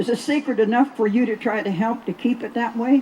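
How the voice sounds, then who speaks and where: The speech moves at a fairly quick pace with ordinary pitch variation, heard over noticeable background noise. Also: woman. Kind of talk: speech to festival audience about water.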